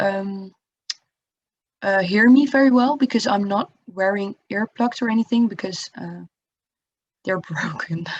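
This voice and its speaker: A woman with a fairly high pitch and a somewhat breathy voice speaks at a fairly slow pace with ordinary pitch variation, recorded dry and close with no echo. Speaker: tutor. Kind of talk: lecture. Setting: video call. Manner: halting. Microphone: laptop or built-in mic, no headset.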